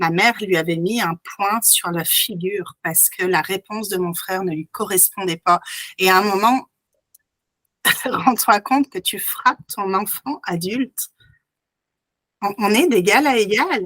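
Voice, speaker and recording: A woman's bright, sharp tone at a fairly slow pace, with long, frequent pauses, ordinary pitch variation, and a dry, close sound with no echo. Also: medium pitch for a woman. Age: 40s. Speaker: hypnotherapist. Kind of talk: interview answer. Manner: calm, composed.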